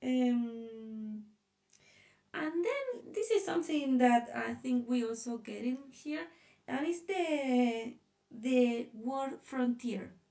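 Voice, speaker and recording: At a very slow pace, a woman speaks with a high pitch, ordinary pitch variation and a dark, mellow tone. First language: not English. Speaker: designer presenting a sketch. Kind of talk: presentation. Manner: halting.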